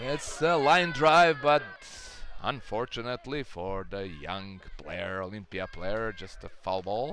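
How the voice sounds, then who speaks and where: The speaker goes very slowly, with very wide pitch swings. Noticeable background noise sits behind the voice. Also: man, medium pitch for a man. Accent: Croatian. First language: Croatian. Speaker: baseball commentator. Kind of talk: live commentary. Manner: halting.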